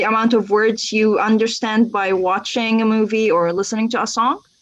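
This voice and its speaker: With an Arabic accent, a woman speaks at a moderate pace. Her pitch is fairly high. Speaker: language teacher. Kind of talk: casual interview.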